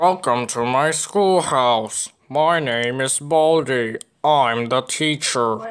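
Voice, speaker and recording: A man's medium-pitched voice at a very slow pace. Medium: comedy sketch. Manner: flatly menacing, deadpan.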